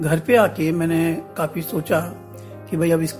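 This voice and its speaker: Music in the background, with a warm tone. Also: man. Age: old. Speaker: storyteller. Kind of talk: podcast storytelling to children. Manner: warm, conversational.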